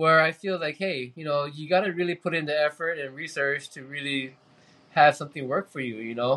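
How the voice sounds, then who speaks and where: A man's bright, sharp, fairly high voice at a fairly quick pace, with fairly even intonation. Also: big swings in loudness, quiet background. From Hawaii (Kauai). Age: 40s. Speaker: spearfisherman. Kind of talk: casual chat.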